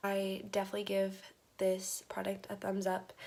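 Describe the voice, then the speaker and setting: A woman speaks quietly at a medium pitch. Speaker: beauty vlogger. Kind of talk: product review vlog. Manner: casual, filler words.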